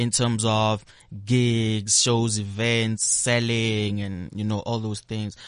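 Very slowly and in a monotone, flat voice, a man speaks over noticeable background noise. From South Africa, Pretoria (Sunnyside). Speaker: musician. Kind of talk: interview.

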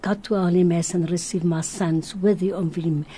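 A woman talks with a fairly low pitch and a dark, mellow tone. Her voice is somewhat breathy, and her intonation stays fairly even. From Madeira, Portugal. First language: Portuguese. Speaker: religious visionary. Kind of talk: radio interview, testimony. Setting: radio studio.

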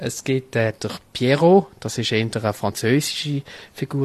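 The man's medium-pitched voice shows ordinary pitch variation in a dry, close recording with no echo. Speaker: carnival society member. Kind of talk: interview. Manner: halting.

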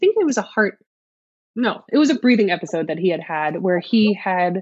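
An unremarkable speaking voice from a woman with an American accent, at a fairly quick pace. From New York City. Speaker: writer and mother of twins. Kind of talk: casual interview, personal story.

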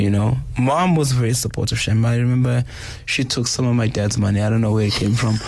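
Audible room echo surrounds a man speaking at a very fast pace and medium pitch, with very even loudness. His voice is somewhat breathy, with ordinary pitch variation. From South Africa, Durban. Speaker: hip hop DJ. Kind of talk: interview about grief. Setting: radio studio. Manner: halting.

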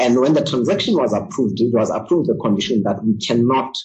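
A man's somewhat breathy voice at a medium pitch. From South Africa. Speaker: mining company executive. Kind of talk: interview.

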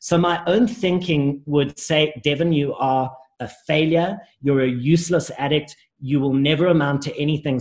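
A man with a fairly high, somewhat breathy voice talks fairly slowly, his intonation lively. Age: 30s. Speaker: life coach, recovering addict. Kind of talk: interview, personal testimony.

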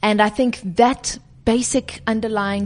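Somewhat breathy, this woman talks at a fairly slow pace with a fairly high pitch. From South Africa. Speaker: climate and social activist. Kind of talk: interview. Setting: office boardroom.

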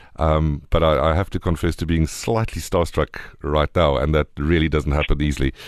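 Very deep and low, a man's voice carries vocal fry and a South African accent at a moderate pace. He speaks with fairly even intonation and hardly any pauses over a quiet background. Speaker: radio host. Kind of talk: casual chat.

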